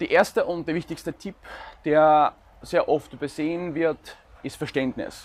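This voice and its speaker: Over a silent background in a very clean recording, a man with a high voice speaks at a fairly slow pace, with ordinary pitch variation and long, frequent pauses. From Ukraine. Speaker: law student and vlogger. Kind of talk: advice talk to camera.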